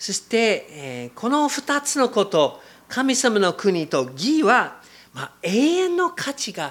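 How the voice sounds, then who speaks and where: A man with an English accent talks at a very slow pace in a high pitch. His pitch swings very widely and his loudness shifts a lot. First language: English (speaking Japanese). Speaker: missionary preacher. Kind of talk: sermon. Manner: halting, many fillers.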